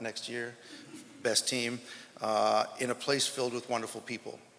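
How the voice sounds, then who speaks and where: With an American accent, a man speaks at a moderate pace and medium pitch. His intonation is monotone and flat, with vocal fry. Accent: sounds American. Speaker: track and field coach. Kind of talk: press conference speech. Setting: press conference.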